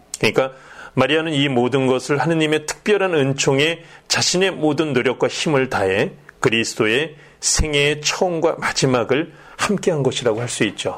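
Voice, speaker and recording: At a fairly high pitch, a man speaks in a plain, everyday voice at a moderate pace with ordinary pitch variation. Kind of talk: religious education talk show.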